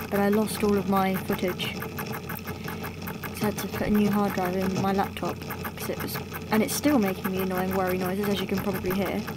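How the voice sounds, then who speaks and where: Over noticeable background noise, a woman talks at a moderate pace in monotone, flat intonation. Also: medium pitch for a woman. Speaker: let's play gamer. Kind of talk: casual game commentary.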